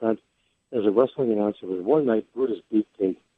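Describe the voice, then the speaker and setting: This man has an ordinary speaking voice with an American accent. He talks at a fairly quick pace and medium pitch with ordinary pitch variation. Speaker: sports radio host and former wrestling ring announcer. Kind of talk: interview answer.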